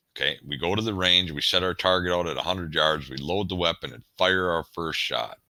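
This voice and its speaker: A man's voice sits very deep and low, with vocal fry and a bright, sharp tone. He barely pauses, and his pitch varies in an ordinary way. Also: fairly quick pace. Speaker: shooting instructor. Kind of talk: tutorial.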